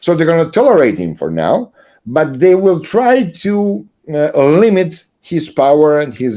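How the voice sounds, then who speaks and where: A man's fairly high voice in a Serbian accent, dark and mellow in tone, with lively intonation at a fairly slow pace. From Serbia, Belgrade. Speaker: political commentator. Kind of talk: interview conversation. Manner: halting, many fillers.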